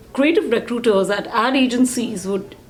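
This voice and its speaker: There is noticeable background noise as a woman speaks at a fairly slow pace. Her pitch is fairly high, with ordinary variation. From India. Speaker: real estate team CEO. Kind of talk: casual interview chat.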